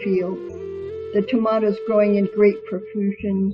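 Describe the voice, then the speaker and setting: With music playing behind her, a woman talks at a fairly slow pace. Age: old. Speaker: poet. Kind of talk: poetry reading.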